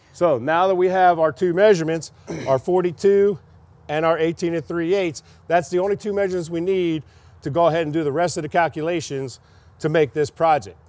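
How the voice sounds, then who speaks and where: Here a man has a high pitch with ordinary pitch variation. He speaks at a fairly quick pace. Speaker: pipefitting instructor. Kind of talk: tutorial. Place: open country.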